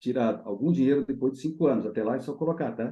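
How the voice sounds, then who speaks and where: A man with a dark, mellow tone and a medium pitch speaks at a very fast pace. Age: 60s. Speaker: agronomist and management consultant. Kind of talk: interview. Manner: animated.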